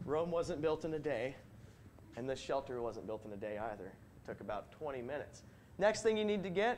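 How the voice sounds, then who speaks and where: Over light background noise, a man talks at a fairly quick pace with very wide pitch swings. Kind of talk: comic skit performance. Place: church.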